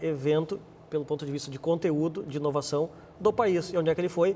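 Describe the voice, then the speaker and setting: A man with a Rio Grande do Sul accent speaks at a fairly high pitch in a dark, mellow tone. His pace is fairly quick and his pitch varies in an ordinary way. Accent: gaúcho. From Rio Grande do Sul, Brazil (born abroad). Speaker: marketing executive and business administrator. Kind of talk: TV interview. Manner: halting, many repeated words.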